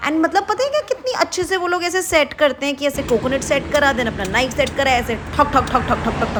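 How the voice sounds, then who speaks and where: A woman talks in an animated tone. Background noise is noticeable behind her. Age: 20s. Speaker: travel vlogger. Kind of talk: travel vlog narration.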